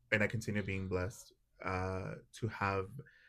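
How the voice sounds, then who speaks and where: A man with a Spanish accent in a very clean recording, background silent. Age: 30s. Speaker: podcast guest, doll collector. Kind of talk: casual chat.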